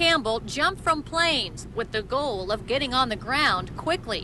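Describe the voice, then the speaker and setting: Over noticeable background noise, a woman projects a raised voice at a high pitch, moving at a moderate pace with lively intonation. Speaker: TV news reporter. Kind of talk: live TV news report.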